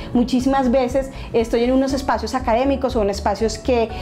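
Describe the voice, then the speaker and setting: A woman with a high pitch speaks at a moderate pace. Noticeable background noise runs behind her. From Colombia, Pasto (south, near Ecuador). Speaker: academic. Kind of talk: interview testimony.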